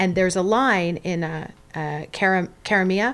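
On a very clean recording with a silent background, a woman with a fairly low pitch speaks at a moderate pace with fairly even intonation in a plain, everyday voice. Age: 40s. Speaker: playwright. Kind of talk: casual chat.

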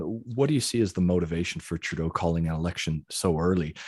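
A man talks at a very fast pace in a very deep, low pitch with a western Canadian accent. His pitch varies in an ordinary way, and the recording is very clean with a silent background. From Calgary, Canada. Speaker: podcast host. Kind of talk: interview. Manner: halting.

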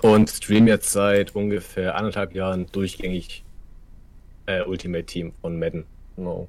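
On a very clean recording with a silent background, a man with a northern German accent and a very deep, low pitch speaks fairly slowly in a monotone, flat intonation, with long, frequent pauses. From northern Germany, Kiel. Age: 30s. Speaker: streamer. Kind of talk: casual chat.

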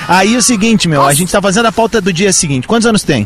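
Over noticeable background noise, a man speaks in an animated tone with very wide pitch swings. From Rio Grande do Sul interior (Cerro Largo). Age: 40s. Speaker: radio host. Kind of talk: live outdoor radio broadcast with street interviews. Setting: outdoors in the street.

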